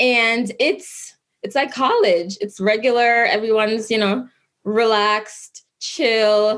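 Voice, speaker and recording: Speaking very slowly, a woman uses a fairly high pitch. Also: fairly even intonation. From Jamaica, Kingston. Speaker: lawyer. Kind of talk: interview.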